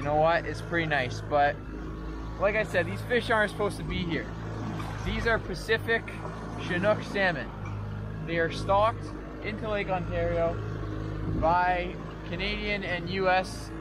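At a moderate pace, a man speaks with long, frequent pauses in a dry sound with no echo, against noticeable background noise. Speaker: angler vlogger. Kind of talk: casual vlog chat. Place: boat. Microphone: camera far.

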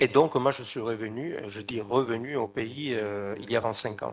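A man with vocal fry speaks at a medium pitch with ordinary pitch variation over light background noise. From Sicily, Trapani; Sicily. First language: Italian (speaking French). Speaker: researcher and novelist; conference panelist. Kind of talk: conference talk. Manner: halting. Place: hall. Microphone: podium.

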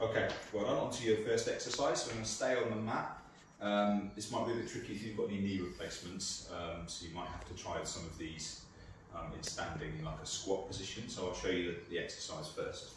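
Over noticeable background noise and strong room echo, a man speaks at a fairly quick pace. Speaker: exercise class instructor. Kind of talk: exercise class instruction. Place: home room. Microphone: camera far.

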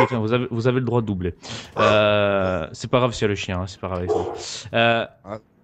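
The voice belongs to a man. He speaks at a fairly quick pace. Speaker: gaming youtuber. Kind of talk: interview. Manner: calm.

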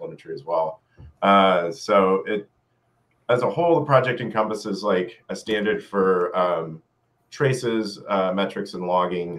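A man with an ordinary speaking voice and a fairly low pitch talks at a moderate pace. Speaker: software engineer. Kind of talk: technical interview. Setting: video call. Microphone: video call.

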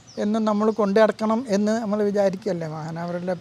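A man speaks with fairly even intonation. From Kerala, Wayanad (Sultan Bathery). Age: 70s. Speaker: devotee sharing testimony. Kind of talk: testimony.

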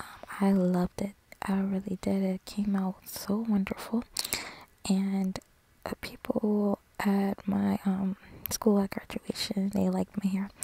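A soft-spoken woman talks at a fairly slow pace in a flat monotone, with long, frequent pauses, in a dry recording with no echo and light background noise. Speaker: beauty vlogger. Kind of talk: casual vlog chat. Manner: soft-spoken, hushed ASMR voice. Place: home room. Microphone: phone near.

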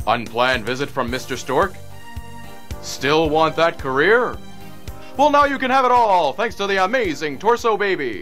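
A man with a high voice at a moderate pace, his pitch swinging very widely, with long, frequent pauses and music playing behind him. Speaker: voice actor. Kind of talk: TV commercial read.

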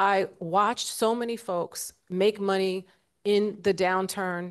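A woman with an American accent speaks with fairly even intonation against a quiet background. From New York City (South Jamaica, Queens); New York City. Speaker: investment firm CEO, panelist; panelist. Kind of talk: panel discussion. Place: hall. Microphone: handheld.

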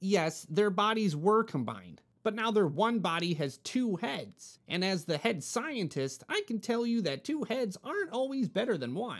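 A put-on character voice with a fairly high pitch runs at a moderate pace with hardly any pauses. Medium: read story. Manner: earnest, explanatory.

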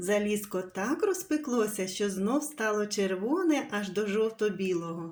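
A natural reading voice. The intonation is lively.

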